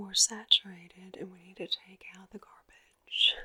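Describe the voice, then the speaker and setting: A woman whispers at a very slow pace in a soothing, calm tone. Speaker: ASMR creator. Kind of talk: ASMR personal attention talk to camera. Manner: soft-spoken, soothing, calm.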